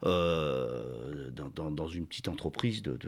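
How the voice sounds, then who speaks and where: A man talks on a very clean recording, the background silent. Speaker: company director. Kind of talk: interview. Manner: halting, with frequent repetitions.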